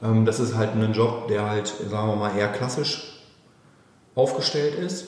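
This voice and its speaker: There is noticeable background noise as a man talks at a fairly slow pace, leaving long, frequent pauses. His medium pitch shows ordinary variation. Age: 30s. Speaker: company managing director. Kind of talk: interview.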